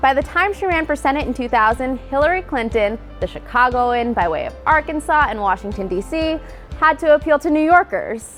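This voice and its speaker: A woman talks at a fairly quick pace in a high pitch with lively intonation. Music plays in the background. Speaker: news video narrator. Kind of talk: news explainer narration. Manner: wry, playful.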